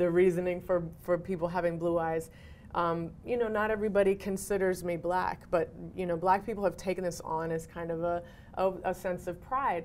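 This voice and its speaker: A woman's unremarkable speaking voice, fairly low in pitch, at a moderate pace, with an American accent. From Cambridge, Massachusetts. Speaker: actor and educator. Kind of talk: interview answer.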